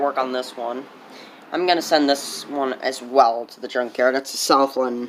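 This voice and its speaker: A shaky man's voice at a fairly slow pace, with noticeable background noise. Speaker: small engine repair hobbyist. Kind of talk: casual tutorial.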